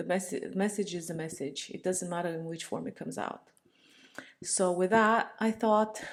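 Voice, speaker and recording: Medium in pitch, a woman's voice holds fairly even intonation. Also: moderate pace. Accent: Romanian. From Romania. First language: Romanian. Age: 30s. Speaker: vlogger. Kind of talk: casual monologue. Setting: home, talking to laptop. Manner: rambling, self-interrupting.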